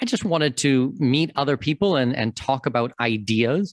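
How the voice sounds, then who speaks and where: The voice has a Canadian accent. The sound is dry with no echo, and the background is quiet. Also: man. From Canada, Toronto. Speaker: expat consultant and podcast host. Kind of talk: interview. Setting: remote call. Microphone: video call.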